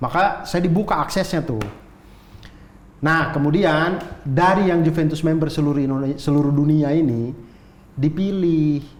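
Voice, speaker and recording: A man with a fairly high pitch speaks with long, frequent pauses. Audible room echo surrounds the recording. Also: ordinary pitch variation, moderate pace, very even loudness. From North Sumatra, Indonesia. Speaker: comedian. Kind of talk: casual chat, storytelling.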